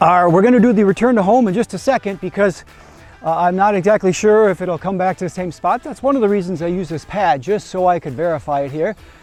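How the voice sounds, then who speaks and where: Amid noticeable background noise, a man with a high pitch and ordinary pitch variation speaks at a very fast pace. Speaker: drone reviewer. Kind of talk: casual talk to camera.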